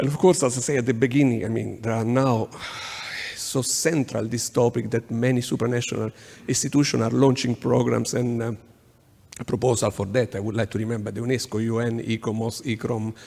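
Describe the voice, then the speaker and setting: A man speaks at a fairly quick pace. His medium-pitched voice keeps a fairly even intonation. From Italy. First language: Italian. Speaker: urban planning consultant. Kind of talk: conference presentation. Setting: conference workshop. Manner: halting, many fillers.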